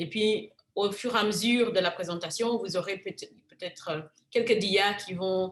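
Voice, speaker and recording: A woman's ordinary speaking voice at a fairly slow pace, with fairly even intonation. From Africa. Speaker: physician. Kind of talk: lecture.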